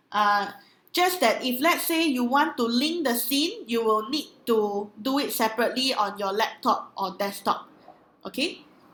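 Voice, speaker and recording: A woman with a Singaporean accent speaks loudly and fairly slowly in a high voice, her intonation lively. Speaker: online trainer. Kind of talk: webinar training with live Q&A. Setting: live online webinar.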